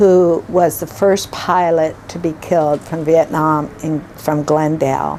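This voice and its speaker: A woman's fairly low voice with fairly even intonation amid noticeable background noise. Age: 70s. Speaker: retirement home resident. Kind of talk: personal testimony. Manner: halting, many fillers.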